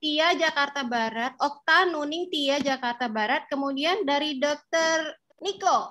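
A woman speaks in a raised, projected voice with a high pitch and a bright, sharp tone. Her pace is fairly slow with hardly any pauses, and her pitch varies in an ordinary way. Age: 40s. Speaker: dermatologist and moderator; moderator. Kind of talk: webinar moderation. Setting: video call. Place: home room. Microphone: video call.

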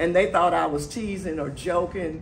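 The voice shows ordinary pitch variation over light background noise. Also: woman. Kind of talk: speech to an audience. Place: hall. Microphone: camera far.

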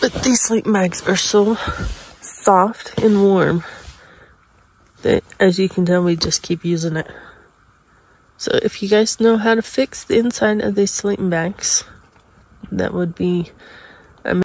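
A woman at a fairly slow pace with fairly even intonation, in a dry sound with no echo. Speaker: camping vlogger. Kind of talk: casual vlog chat. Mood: relaxed morning chat. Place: tent. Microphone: phone near.

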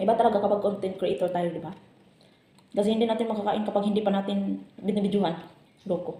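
The speech runs at a very fast pace. Long pauses come often. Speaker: vlogger. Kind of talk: casual vlog while eating. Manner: chatty, talking with mouth full.

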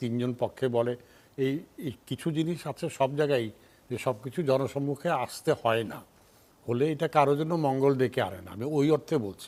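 There is a dark, mellow tone to this man's medium-pitched voice. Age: 70s. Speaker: political analyst. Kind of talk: talk show discussion.

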